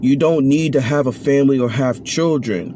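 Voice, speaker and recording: Noticeable background noise sits behind this man's voice. He has a fairly high pitch and fairly even intonation. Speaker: vlogger. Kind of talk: opinion monologue. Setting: at work on break. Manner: slow.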